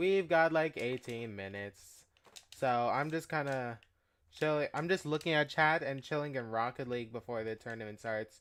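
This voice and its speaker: Delivery runs at a moderate pace. The background is silent in this very clean recording. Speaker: chess streamer. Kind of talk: casual live stream chat. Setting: home live stream. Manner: quiet, keeping voice down; halting, many fillers and repeats.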